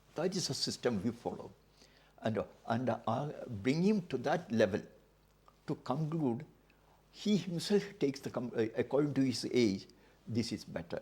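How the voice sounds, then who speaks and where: Somewhat breathy and dark, mellow in tone, a man talks at a fairly slow pace with very wide pitch swings and long, frequent pauses. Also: medium pitch for a man. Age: 80s+. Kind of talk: interview answer.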